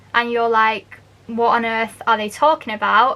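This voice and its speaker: A woman's high voice in a Manchester accent. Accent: Northern English (Manchester). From Manchester, England. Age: 20s. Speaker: barista; university language student. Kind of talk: casual explainer talk to camera.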